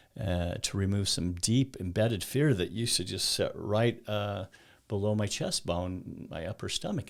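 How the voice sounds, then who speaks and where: The recording is very clean, with a silent background. A man with an unremarkable speaking voice talks at a moderate pace and a fairly low pitch. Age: 60s. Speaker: mental health coach. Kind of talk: casual interview conversation.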